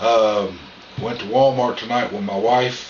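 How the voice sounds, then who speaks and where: A man speaks with a Southern US accent. Noticeable background noise and audible room echo are present. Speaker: vlogger. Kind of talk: casual vlog monologue. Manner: loud.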